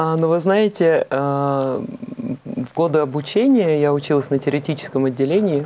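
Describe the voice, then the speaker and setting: Over light background noise, a woman with a very deep, low pitch talks at a moderate pace with ordinary pitch variation. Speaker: opera singer; guest. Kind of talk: interview. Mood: warm, smiling. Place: studio.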